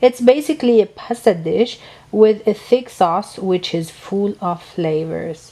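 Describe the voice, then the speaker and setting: Here a woman speaks with a non-native accent. Her pace is fairly slow and her intonation lively. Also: medium pitch for a woman. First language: not English. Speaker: home cook. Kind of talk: cooking tutorial voice-over.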